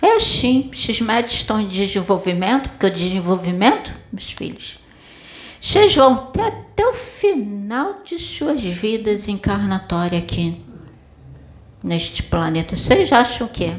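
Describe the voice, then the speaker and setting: Noticeable background noise sits behind a woman speaking at a medium pitch. She moves at a fairly slow pace with lively intonation. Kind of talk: sermon. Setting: spiritual center with audience. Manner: didactic, direct rhetorical questions; warm, paternal, exhorting.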